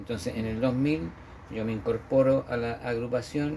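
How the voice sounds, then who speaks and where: At a moderate pace, a man talks with a dark, mellow tone, medium pitch and fairly even intonation. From central-south Chile, Parral then Paine. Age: 60s. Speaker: memorial director and former local councillor. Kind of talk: interview. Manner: hesitant, many fillers.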